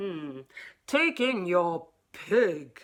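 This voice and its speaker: Putting on a character voice, a woman speaks at a medium pitch with very wide pitch swings. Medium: read story.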